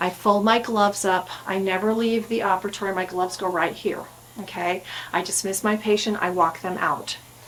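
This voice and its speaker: Over noticeable background noise, a woman speaks at a medium pitch and moderate pace with monotone, flat intonation. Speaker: dental hygienist. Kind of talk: tutorial.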